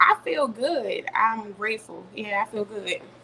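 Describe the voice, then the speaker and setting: Clear background noise surrounds a woman whose voice sits fairly high. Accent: American. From US South, Richmond, Virginia. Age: 30s. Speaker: entrepreneur and mother. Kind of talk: interview.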